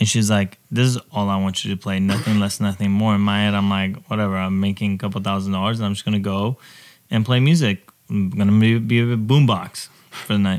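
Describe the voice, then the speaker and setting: A man with an ordinary speaking voice, fairly low in pitch, talks at a fairly quick pace with fairly even intonation. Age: 30s. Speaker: DJ. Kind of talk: casual chat.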